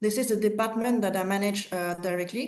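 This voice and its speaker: Over a quiet background, a woman speaks with a French accent at a medium pitch. Her intonation is fairly even and her pace moderate. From France / Cambodia. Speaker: market access manager. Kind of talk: business webinar presentation. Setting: online webinar.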